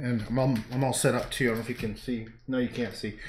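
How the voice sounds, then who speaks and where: A man speaks at a fairly quick pace. Light background noise and audible room echo can be heard. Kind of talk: casual livestream chat. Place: home room. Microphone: camera far.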